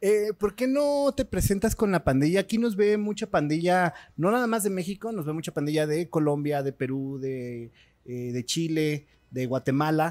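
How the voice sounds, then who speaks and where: A man speaks in a high pitch at a moderate pace. His pitch swings very widely. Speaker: podcast host. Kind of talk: casual interview.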